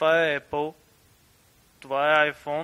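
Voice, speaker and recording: Speaking at a fairly quick pace with an eastern Bulgarian accent, this man has a fairly high pitch and a bright, sharp tone. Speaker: podcast guest. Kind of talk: casual podcast talk.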